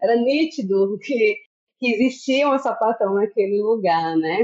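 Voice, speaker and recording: A woman talks at a very slow pace. Her pitch sits fairly high, with ordinary variation. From Brazil, Bahia (Juazeiro). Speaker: teacher and researcher. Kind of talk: podcast interview.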